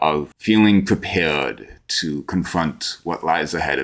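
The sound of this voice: This man has a low pitch, vocal fry and big pitch swings.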